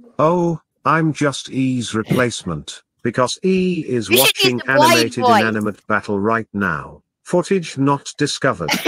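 At a moderate pace, a man puts on a robotic character voice at a medium pitch with lively intonation. The sound is dry and close, with no echo.

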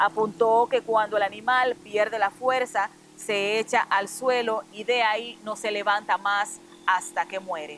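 A woman with an ordinary speaking voice talks at a fairly slow pace, her fairly high pitch held in fairly even intonation. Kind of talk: news reading. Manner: formal, steady newsreader delivery.

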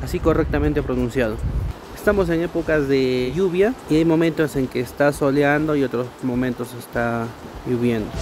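Against noticeable background noise, a man speaks with ordinary pitch variation in a dry sound with no echo. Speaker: travel vlogger. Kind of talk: casual vlog commentary. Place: open country. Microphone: phone near.

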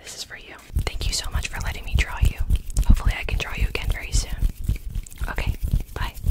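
Whispering at a very fast pace, a woman leaves long, frequent pauses as her loudness swings widely. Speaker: ASMR creator. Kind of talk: ASMR roleplay, personal attention. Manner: fast, upbeat, excited. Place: home room. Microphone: studio mic.

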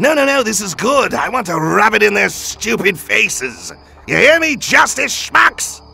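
Using a put-on character voice, a man speaks high for a man at a moderate pace. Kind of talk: comedic parody dub. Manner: gleeful, taunting.

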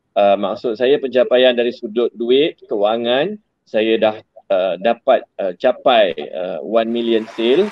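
The speech moves at a very slow pace. The sound is dry with no echo, against a quiet background. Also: man. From Negeri Sembilan, Malaysia. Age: 40s. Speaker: gadget business owner; guest. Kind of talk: online interview. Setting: in his office. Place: office. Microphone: video call.

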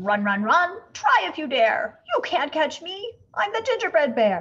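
Putting on a growling character voice, a woman with a high pitch projects loudly at a fairly slow pace, swinging her pitch very widely. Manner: taunting.

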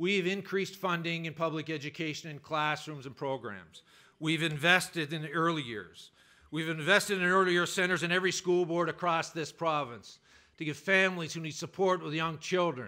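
Over a quiet background, a man speaks in a bright, sharp tone with ordinary pitch variation. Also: moderate pace. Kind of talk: political speech. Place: hall. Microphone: podium.

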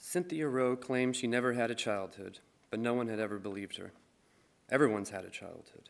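Pitch varies in an ordinary way as a man speaks at a fairly quick pace. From Michigan. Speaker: musician and poet. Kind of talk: reading aloud. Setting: stage with audience. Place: stage. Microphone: podium.

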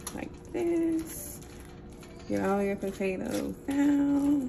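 A woman speaks with a strong Southern US accent. Noticeable background noise sits behind her. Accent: Southern US, strong country. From Mississippi. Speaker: home cook. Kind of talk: casual cooking talk to camera.

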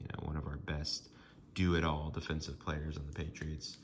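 Over light background noise, a man with a very deep, low pitch speaks at a moderate pace. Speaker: sports card collector. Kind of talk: casual talk to camera. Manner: monotone, downtrodden. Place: home room. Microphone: phone near.

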